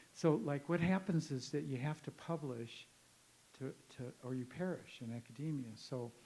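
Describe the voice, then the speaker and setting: At a moderate pace, a man talks in a medium pitch with a dark, mellow tone and ordinary pitch variation. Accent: Midwestern American. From US Midwest, northern Illinois. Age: 70s. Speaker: professor. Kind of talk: conference talk with audience Q&A. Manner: conversational, halting.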